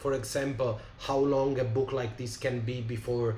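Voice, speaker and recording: With audible room echo, a man in an Italian accent speaks with monotone, flat intonation. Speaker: tabletop game designer. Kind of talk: live stream chat. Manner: halting, many fillers.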